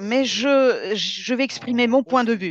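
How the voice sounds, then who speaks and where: Speaking very slowly with a Russian accent, a woman uses a fairly high pitch, and the recording is dry and close with no echo against a quiet background. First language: Russian (speaking French). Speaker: Arctic researcher and speaker at an exhibition. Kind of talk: Q&A answer at an exhibition opening. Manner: halting, many hesitations.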